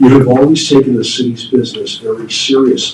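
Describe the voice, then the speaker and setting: There is noticeable background noise and audible room echo. A man at medium pitch speaks at a moderate pace. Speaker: city manager. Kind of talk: prepared farewell remarks at council meeting. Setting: city council work session. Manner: formal.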